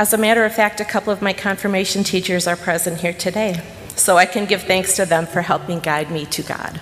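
There's noticeable background noise as a woman speaks at a fairly quick pace. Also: medium pitch for a woman, fairly even intonation. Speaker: missionary. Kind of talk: sermon. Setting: church.

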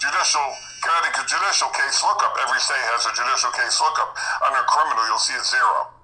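A man talks at a very fast pace with very even loudness. Noticeable background noise and audible room echo are present. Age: 60s. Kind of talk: casual chat.

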